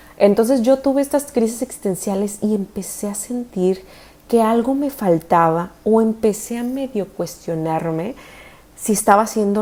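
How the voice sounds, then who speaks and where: A woman speaks at a fairly slow pace in a medium pitch. Her dark, mellow tone comes with lively intonation. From Mexico, Tijuana. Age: 30s. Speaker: dentist and spiritual content creator. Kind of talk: personal storytelling monologue. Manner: casual, conversational.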